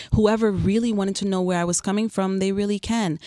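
This woman talks at a very fast pace, her pitch medium and her tone dark and mellow. Her intonation stays monotone and flat. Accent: New York. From New York (Queens). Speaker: photographer and artist. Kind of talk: radio interview. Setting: radio studio.

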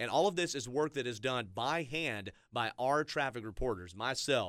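On a very clean recording with a silent background, a man talks at a fairly quick pace and a medium pitch in an unremarkable speaking voice. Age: 30s. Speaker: radio traffic reporter. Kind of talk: casual chat.

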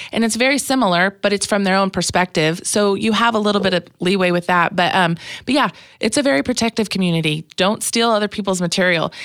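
A woman speaks with an American accent at a very fast pace. Her loudness stays very even. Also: medium pitch for a woman, ordinary pitch variation, very clean recording, silent background. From Kansas. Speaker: stand-up comedian. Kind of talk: casual interview chat. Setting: studio. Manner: fast talker.

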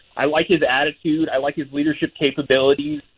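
A man talks at a very fast pace. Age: 30s. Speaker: sports beat reporter. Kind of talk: radio interview.

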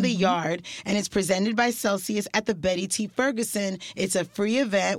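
The accent is American. Pitch rises and falls in an ordinary way. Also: woman. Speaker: radio host. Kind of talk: radio show hosting. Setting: radio studio. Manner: animated.

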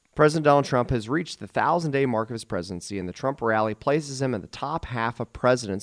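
Lively intonation from a man at a medium pitch, a plain, everyday voice, dry and close with no echo, in a very clean recording with a silent background. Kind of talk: radio show patter, teasing the break and station ID in a sign-off. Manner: brisk, upbeat, salesy radio-announcer cadence.

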